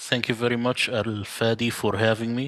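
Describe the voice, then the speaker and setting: A man with an Arabic accent talks at a moderate pace with a fairly low pitch and a bright, sharp tone. The recording is very clean, with a silent background. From Middle East. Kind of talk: interview.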